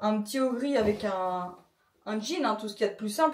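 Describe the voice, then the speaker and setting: Over music in the background, a woman talks at a very fast pace in a fairly high pitch. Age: 30s. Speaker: vlogger. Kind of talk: casual vlog talk to camera.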